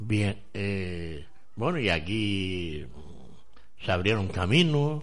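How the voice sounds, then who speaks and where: Very slow speech with lively intonation comes through long, frequent pauses and audible room echo. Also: man, fairly low pitch for a man. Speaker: radio host. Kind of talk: casual chat.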